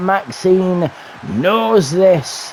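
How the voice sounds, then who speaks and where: Noticeable noise runs in the background. Over it, a man talks at a high pitch. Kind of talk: live wrestling show commentary. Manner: energetic, theatrical show-host delivery.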